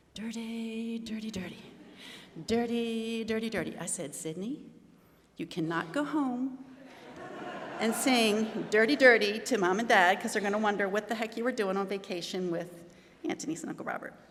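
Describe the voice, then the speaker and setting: A woman with an American accent, long and frequent pauses, audible room echo, and noticeable background noise. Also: ordinary pitch variation, moderate pace. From Maryland, Baltimore. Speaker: eulogy speaker, aunt of the deceased. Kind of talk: eulogy. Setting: memorial service in a venue. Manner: halting.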